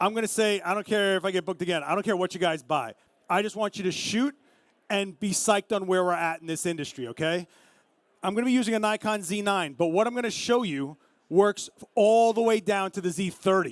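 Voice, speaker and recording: A man's intense, animated, high voice in a Brooklyn accent, fairly quick, with ordinary pitch variation, on a very clean recording with a silent background and a dry, close sound with no echo. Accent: New York (Brooklyn). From Brooklyn, New York. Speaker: photographer giving a camera demo. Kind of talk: live demo to an audience. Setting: stage with audience at a show in Vegas. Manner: fast, intense; loud, animated.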